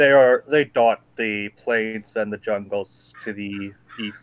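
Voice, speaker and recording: Using a put-on character voice, a man talks at a medium pitch. His pace is fairly slow. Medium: actual play. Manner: solemn, measured.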